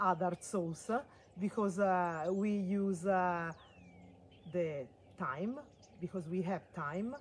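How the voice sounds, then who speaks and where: A woman with an Italian accent at medium pitch, with ordinary pitch variation, a very slow pace and long, frequent pauses. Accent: Italian accent, non-native English. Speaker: farm stay owner and food producer. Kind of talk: casual product talk. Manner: halting, many fillers.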